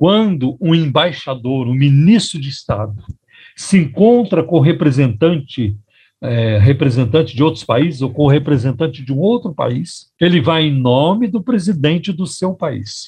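This man's voice is fairly high-pitched, with very wide pitch swings and a dark, mellow tone. He speaks at a fairly slow pace and sounds somewhat breathy. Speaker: pastor and radio host. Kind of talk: radio sermon.

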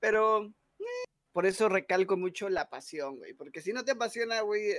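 In a Mexican accent, a man talks at a moderate pace with a high pitch and ordinary pitch variation. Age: 20s. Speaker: content creator. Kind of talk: casual chat.

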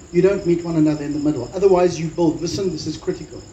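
A fairly high-pitched man with ordinary pitch variation and audible room echo. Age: 40s. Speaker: pastor. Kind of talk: sermon.

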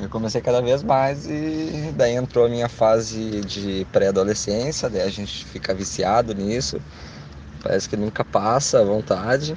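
A man's intonation is lively, and there is noticeable noise behind him. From Rio Grande do Sul, Brazil (Canoas). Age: 20s. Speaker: listener giving testimony. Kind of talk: recorded testimony.

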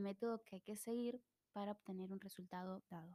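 In an Argentine accent, a woman speaks at a moderate pace with a dark, mellow tone, ordinary pitch variation, and a dry, close sound with no echo. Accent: Rioplatense Argentine Spanish. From Argentina, Buenos Aires suburbs. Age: 20s. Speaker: podcast host. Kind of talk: casual solo monologue.

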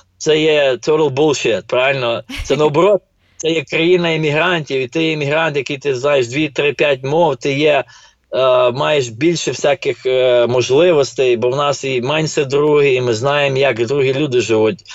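At a moderate pace, a man speaks in an ordinary speaking voice pitched fairly high. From Ukraine, Ternopil. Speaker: finance professional and real estate investor. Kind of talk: casual interview.

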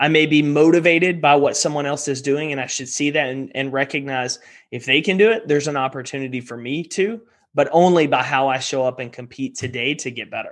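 A plain, everyday voice from a man with an American accent, fairly high pitch, ordinary pitch variation and a fairly quick pace over a quiet background. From Texas. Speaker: performance coach and entrepreneur. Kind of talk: interview.

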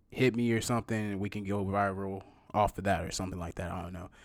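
A man's fairly low voice at a fairly quick pace, fairly even intonation, on a very clean recording with a silent background. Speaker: podcast host. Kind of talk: devotional encouragement message. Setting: solo recorded voiceover.

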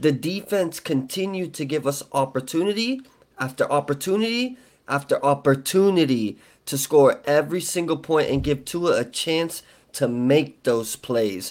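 A man talks at a fairly slow pace in a fairly high voice. His tone is animated and his intonation lively. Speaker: podcast host. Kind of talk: casual sports podcast chat. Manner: animated, excitable.

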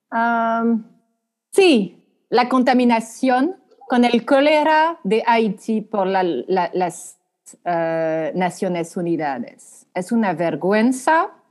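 With a strong French accent, a woman with a fairly high voice speaks very slowly, her pitch swinging very widely. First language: French (speaking Spanish). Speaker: law professor. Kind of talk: interview on international law. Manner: halting, many repetitions.

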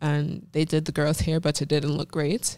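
A dark, mellow tone in a Jamaican accent at a moderate pace. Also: woman. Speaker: fashion model. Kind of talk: casual interview. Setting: studio.

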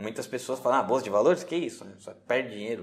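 The man talks at a fairly quick pace. His pitch swings very widely. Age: 30s. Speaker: day trader. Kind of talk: interview.

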